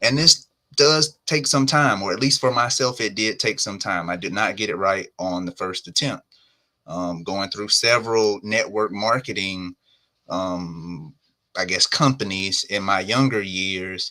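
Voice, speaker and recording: In a Southern US accent, a man speaks at a fairly slow pace with fairly low pitch, a bright, sharp tone and ordinary pitch variation, on a very clean recording with a silent background. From US South. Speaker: entrepreneur. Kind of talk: live podcast interview. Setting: live stream.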